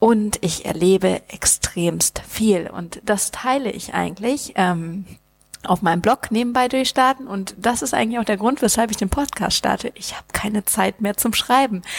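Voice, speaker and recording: A woman speaks in a normal speaking voice, fairly high in pitch and at a moderate pace. Her pitch varies in an ordinary way, and the sound is dry and close with no echo. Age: 30s. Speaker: podcast host and startup founder, flight attendant. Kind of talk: solo podcast monologue. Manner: casual, many filler words.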